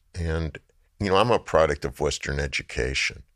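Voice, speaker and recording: A man with a very deep, low voice and vocal fry is heard in a very clean recording with a silent background. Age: 70s. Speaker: artist. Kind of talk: interview. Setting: studio. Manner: long, storytelling answers.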